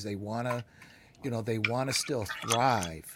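A man's voice at medium pitch. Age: 60s. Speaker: podcast host. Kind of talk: interview. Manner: halting.

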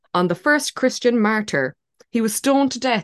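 Recorded with a dry, close sound and no echo, a woman in an Irish accent talks with lively intonation. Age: 30s. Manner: animated.

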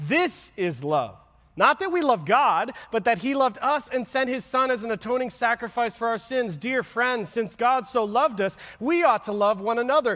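Pitched extremely high, a man talks at a moderate pace with lively intonation and a bright, sharp tone, captured in a very clean recording against a silent background. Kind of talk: sermon. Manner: conversational, direct, audience-engaging; earnest, plain-spoken with casual asides.

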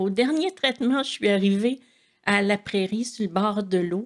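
A woman speaks in a Quebec accent at a medium pitch with ordinary pitch variation. The sound is dry and close, without echo. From Quebec, Montreal. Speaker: churchgoer sharing faith story. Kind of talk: testimony.

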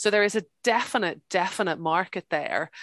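Over a quiet background, a woman with a Northern Irish accent speaks at a moderate pace with fairly even intonation. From Northern Ireland, near Belfast. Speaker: farmer and author. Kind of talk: interview. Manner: hesitant, with fillers and repeats.

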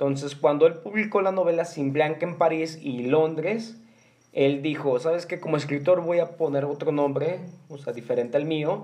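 With a Mexican accent, a man speaks at a moderate pace, his fairly high voice showing ordinary pitch variation. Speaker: podcast host. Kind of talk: casual chat; reading aloud.

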